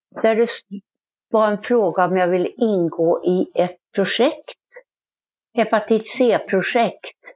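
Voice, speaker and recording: Speaking at a very slow pace with long, frequent pauses, a woman keeps a fairly high pitch, ordinary pitch variation and very even loudness. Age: 70s. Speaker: former drug user turned writer. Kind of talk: interview testimony.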